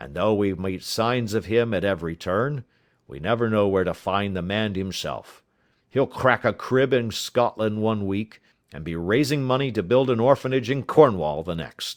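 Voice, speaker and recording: A man's raspy, put-on character voice at medium pitch, moderate in pace with lively intonation and big swings in loudness, in a very clean recording with a silent background. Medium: read story. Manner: blunt, hearty.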